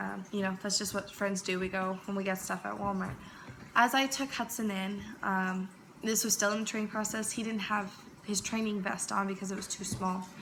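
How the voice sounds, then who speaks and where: Noticeable background noise sits behind a woman speaking at a medium pitch. Her pace is moderate and her intonation monotone and flat. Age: 20s. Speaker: speaker sharing personal story. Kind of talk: presentation talk. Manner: hesitant, many fillers.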